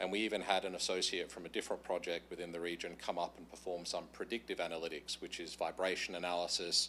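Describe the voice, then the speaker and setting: A man's very deep, low voice with a bright, sharp tone, an Australian accent and a very fast pace. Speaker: utility contractor presenter. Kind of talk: presentation to council. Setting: council meeting.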